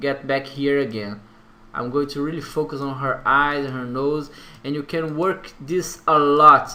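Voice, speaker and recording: The speaker has a Brazilian accent and a bright, sharp tone. Delivery is fairly slow, with fairly even intonation. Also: man. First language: Portuguese. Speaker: tutorial creator. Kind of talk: software tutorial. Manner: halting, hesitant with fillers.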